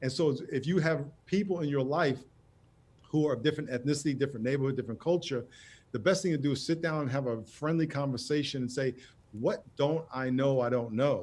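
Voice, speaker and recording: Speaking at a fairly quick pace, a man has a fairly high pitch with ordinary pitch variation. His is an ordinary speaking voice. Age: 60s. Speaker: pastor and author. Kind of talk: TV interview.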